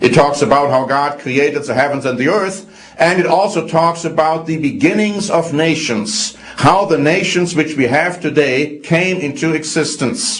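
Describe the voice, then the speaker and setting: With audible room echo and noticeable background noise, a man speaks at a moderate pace in a fairly high pitch. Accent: slight German. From Germany. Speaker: religious program presenter. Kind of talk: religious teaching talk.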